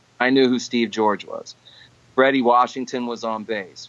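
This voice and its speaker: At a moderate pace, a man speaks at medium pitch in a plain, everyday voice with fairly even intonation. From New York City, the Bronx (Puerto Rican family). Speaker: session and touring guitarist. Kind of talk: casual interview. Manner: conversational with fillers.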